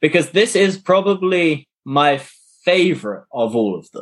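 With a quiet background behind him, a man's voice swings very widely in pitch. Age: 20s. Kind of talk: casual chat. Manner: animated.

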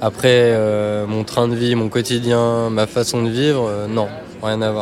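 Flat, monotone male speech at a fairly slow pace over noticeable background noise. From western France (Île de Ré). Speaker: graphic designer, former cook. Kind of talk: casual interview over a meal. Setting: restaurant.

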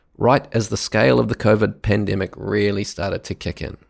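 On a very clean recording with a silent background, a man talks at a fairly low pitch with vocal fry. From New Zealand. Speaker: podcast host. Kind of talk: scripted narration.

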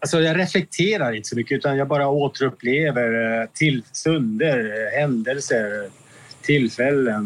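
A man talks fairly slowly in a fairly high pitch, with ordinary pitch variation. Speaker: exonerated former prisoner. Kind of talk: interview. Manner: halting.

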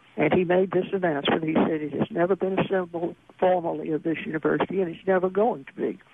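A woman at a very fast pace with hardly any pauses, fairly even intonation and noticeable background noise. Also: fairly low pitch for a woman. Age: 70s. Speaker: author and attorney. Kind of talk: interview about memoir.

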